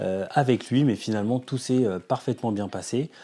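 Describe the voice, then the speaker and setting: In a very clean recording with a silent background, a man of medium pitch and dark, mellow tone talks at a moderate pace with ordinary pitch variation. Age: 40s. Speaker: developer and startup co-founder. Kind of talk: documentary interview. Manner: hesitant, many fillers.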